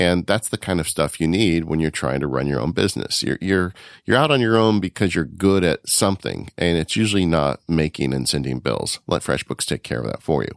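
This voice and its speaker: Over a very clean recording with a silent background and a dry, close sound with no echo, a man with a very deep, low pitch and vocal fry talks at a fairly quick pace with lively intonation. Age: 50s. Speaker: podcast host, independent worker. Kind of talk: casual chat.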